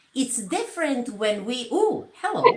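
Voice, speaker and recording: Speaking in a Serbian accent, the voice moves at a very slow pace. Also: woman. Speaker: social media content creator. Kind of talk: interview.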